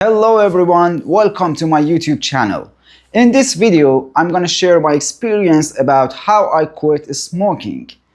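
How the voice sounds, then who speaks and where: A man speaks at a moderate pace in a high voice with a non-native accent and lively intonation. His loudness stays very even against a quiet background. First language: not English. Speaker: therapist sharing recovery story. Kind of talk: personal testimony. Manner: halting.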